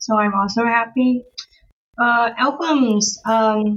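Somewhat breathy and fairly high, a woman's voice holds a fairly even intonation. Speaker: elementary school teacher and streamer. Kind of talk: casual chat.

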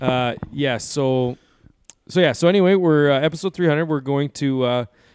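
Over a quiet background, a man with a plain, everyday voice talks at a fairly quick pace and a fairly high pitch, with ordinary pitch variation. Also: dry, close sound with no echo. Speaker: podcast host. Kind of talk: casual podcast chat. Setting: studio.

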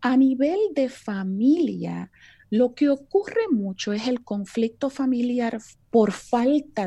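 Against a quiet background, a woman speaks at a very slow pace with lively intonation. Her tone is dark and mellow, and somewhat breathy. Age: 50s. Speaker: biblical counselor. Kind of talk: interview.

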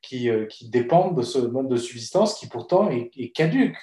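Dark and mellow in tone, a man's somewhat breathy voice unfolds at a fairly slow pace with ordinary pitch variation. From Bolivia. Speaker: economist and researcher, management school lecturer. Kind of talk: casual interview.

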